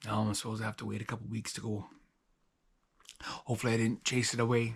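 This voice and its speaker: Speaking very fast, a man with a somewhat breathy, medium-pitched voice keeps a monotone, flat intonation. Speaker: outdoors vlogger. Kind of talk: vlog narration. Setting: outdoors. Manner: stammering.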